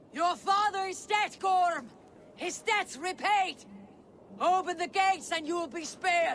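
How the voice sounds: A man uses a put-on character voice at an extremely high pitch, with ordinary pitch variation. His tone is fairly bright and his pace slow.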